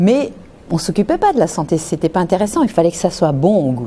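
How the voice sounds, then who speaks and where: A woman's fairly low, dark and mellow voice at a moderate pace. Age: 60s. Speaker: nutritionist. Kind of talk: interview testimony.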